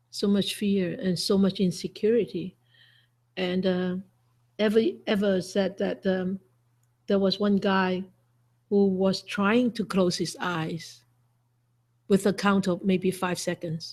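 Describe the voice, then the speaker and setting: Over a very clean, silent background, a woman speaks very slowly with long, frequent pauses in a somewhat breathy voice at medium pitch and fairly even intonation. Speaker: Buddhist monastic teacher. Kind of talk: dharma talk.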